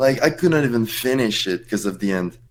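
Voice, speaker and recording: Speaking with a French accent, a man uses a medium pitch and ordinary pitch variation. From France. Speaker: esports player. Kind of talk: casual chat. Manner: halting.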